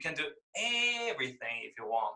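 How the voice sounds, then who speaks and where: A man talks with a Chinese accent. His pace is moderate. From mainland China. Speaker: concept artist. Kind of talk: interview. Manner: halting, many fillers.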